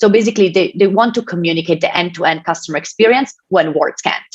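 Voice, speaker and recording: Her intonation lively, a woman speaks with an Italian accent. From Italy. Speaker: tech company innovation advisor. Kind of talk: keynote speech. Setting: online event with presentation slides.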